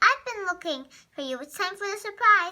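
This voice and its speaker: A woman does a put-on character voice, squeaky and extremely high-pitched, at a fairly quick pace with lively intonation and big swings in loudness. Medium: read story.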